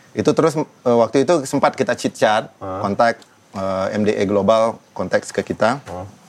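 A man in a plain, everyday voice, medium pitch, ordinary pitch variation, moderate pace. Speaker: rock band vocalist and activist. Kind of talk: casual interview conversation.

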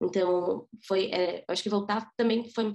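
A woman talks in an unremarkable speaking voice, medium in pitch, with fairly even intonation. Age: 20s. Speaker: preschool teacher. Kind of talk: interview testimony.

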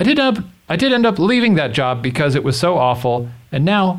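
A man's somewhat breathy voice at a very fast pace, with audible room echo. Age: 30s. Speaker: advice podcast co-host. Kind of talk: casual chat.

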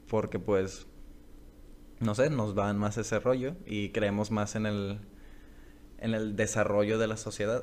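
With long, frequent pauses, a man speaks at a fairly slow pace in a fairly low pitch and fairly even intonation. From Culiacán, Sinaloa, Mexico. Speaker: podcast co-host, aspiring fantasy writer. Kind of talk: casual chat. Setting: homemade recording at home.

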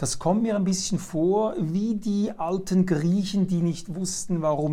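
A dark, mellow tone comes through at a very slow pace. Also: man. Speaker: talk show host. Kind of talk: interview.

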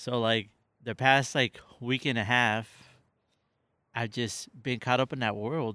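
Here a man speaks at a medium pitch in a bright, sharp tone with fairly even intonation and a fairly slow pace. The recording is very clean, with a silent background. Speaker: guest on podcast. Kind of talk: casual chat. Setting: outdoors in a backyard.

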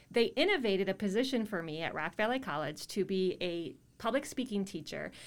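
On a very clean recording with a silent background, a woman with a normal speaking voice talks at medium pitch with lively intonation. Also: fairly quick pace. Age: 40s. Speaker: podcast host and public speaking teacher. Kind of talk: interview.

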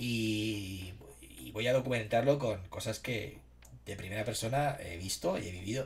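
A man's lively intonation with vocal fry. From Spain, Alicante (San Vicente). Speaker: livestreamer. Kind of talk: casual chat. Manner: animated.

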